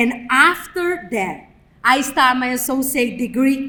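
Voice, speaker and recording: Someone with a non-native accent talks over noticeable background noise. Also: woman. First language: not English. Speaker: graduate student speaker. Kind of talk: ceremony speech. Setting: graduation ceremony with audience.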